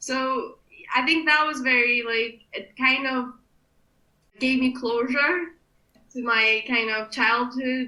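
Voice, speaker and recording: Speaking very slowly, a woman with a Kurdish accent has a high pitch, a bright, sharp tone and fairly even intonation. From Iraqi Kurdistan, raised in Glasgow from age 12. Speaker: political candidate and rights campaigner. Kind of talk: podcast interview.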